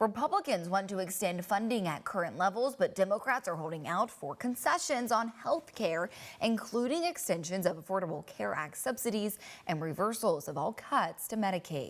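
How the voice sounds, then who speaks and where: A woman speaks at a moderate pace in an unremarkable speaking voice, her intonation lively. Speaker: TV news anchor and reporter. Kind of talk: TV news anchor read.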